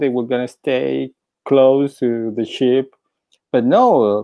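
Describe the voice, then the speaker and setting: Over a quiet background, a man speaks at a very slow pace. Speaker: podcast host and interviewer; podcast host, interviewer. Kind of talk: casual interview. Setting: live stream video call. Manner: halting, many repetitions and fillers. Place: home room. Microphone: earbuds.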